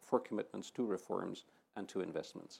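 Here a man with a Dutch accent talks at a medium pitch. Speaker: EU official. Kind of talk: panel discussion. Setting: studio with audience.

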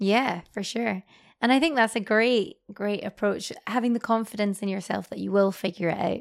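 Her medium pitch and ordinary pitch variation come through at a moderate pace as a woman speaks in a very clean recording with a silent background. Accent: Scottish. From Scotland. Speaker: podcast host. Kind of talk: interview conversation.

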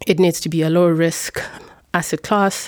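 This is an unremarkable speaking voice at a moderate pace. The sound is dry and close, with no echo. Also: woman. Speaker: finance executive. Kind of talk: casual group interview. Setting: studio.

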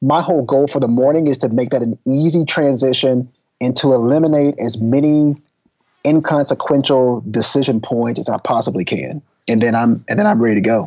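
The voice carries a Texan accent and ordinary pitch variation. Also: man, medium pitch for a man, fairly quick pace. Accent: Texan American. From East Texas. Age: 30s. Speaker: football coach turned lecturer and author. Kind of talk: casual interview.

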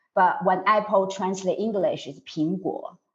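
A woman with a Mandarin accent speaks at a fairly slow pace. The background is quiet. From China. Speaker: native speaker reviewer. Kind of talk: interview. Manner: halting.

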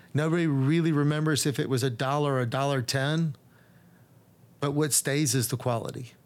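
A man's ordinary speaking voice with an American accent, fairly high in pitch, at a fairly quick pace with fairly even intonation and very even loudness, on a very clean recording against a silent background. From Texas, Dallas. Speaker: real estate developer. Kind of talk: casual interview.

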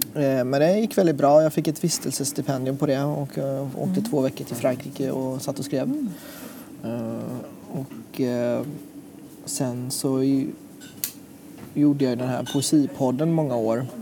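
Noticeable background noise surrounds a man speaking at a fairly slow pace. His intonation is fairly even, broken by long, frequent pauses. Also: medium pitch for a man. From Sweden. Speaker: poet and photographer. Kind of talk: casual interview. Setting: restaurant. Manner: halting.

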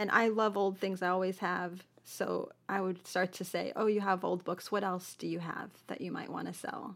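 A woman with an American accent speaks at a medium pitch and moderate pace in a monotone, flat way, with vocal fry. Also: hardly any pauses. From Buffalo, New York. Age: 50s. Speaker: antique shop owner. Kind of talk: interview.

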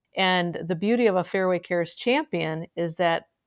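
Over a quiet background, a woman with a plain, everyday voice speaks at a moderate pace and a fairly low pitch. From central Wisconsin. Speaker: podcast host, charity CEO. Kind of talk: interview.

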